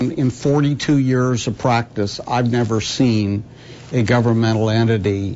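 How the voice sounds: A man speaks at a fairly slow pace with a slightly mellow tone and medium pitch. There is faint background noise. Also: fairly even intonation.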